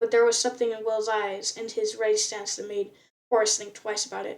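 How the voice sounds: The clip features a natural reading voice. Behind it the background is quiet.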